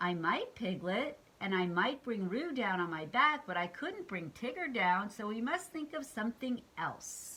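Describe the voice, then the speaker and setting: A female-sounding put-on character voice speaks at a fairly high pitch with very wide pitch swings. The pace is moderate. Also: hardly any pauses. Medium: read story. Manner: slow, solemn.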